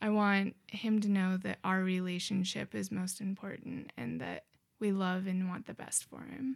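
An ordinary speaking voice from a woman at a medium pitch and moderate pace, with ordinary pitch variation. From Montana (small town). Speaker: college student. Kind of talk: casual chat.

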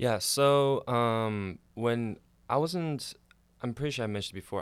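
The recording is very clean with a silent background, and a man speaks at a moderate pace. His is an unremarkable speaking voice with ordinary pitch variation. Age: 20s. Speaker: nursing graduate and youth ministry volunteer. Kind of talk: casual chat.

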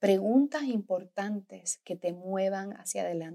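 A woman's medium-pitched voice is captured on a very clean recording against a silent background. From Puerto Rico. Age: 30s. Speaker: podcast host and business coach. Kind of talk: motivational monologue. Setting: hotel bedroom in a French chateau.

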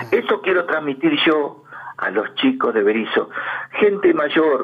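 Noticeable background noise is present. Over it, a man talks at a very slow pace. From Argentina, Berisso (Buenos Aires province). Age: 70s. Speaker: interviewee, amateur local history writer. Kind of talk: radio interview, reminiscing.

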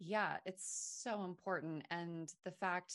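Speaking with an American accent, a woman uses a normal speaking voice at a fairly low pitch, with ordinary pitch variation. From Maine, US. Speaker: wellness brand founder. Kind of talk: podcast interview.

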